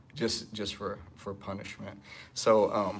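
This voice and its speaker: A man speaks at a very slow pace. His pitch is fairly low. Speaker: jiu-jitsu instructor. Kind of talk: live Q&A. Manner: loud.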